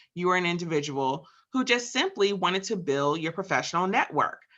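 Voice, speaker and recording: In a New Jersey accent, a woman sounds enthusiastic, her intonation lively against a quiet background. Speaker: program assistant and host of a leadership webinar. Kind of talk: webinar introduction. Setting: online webinar, voice only.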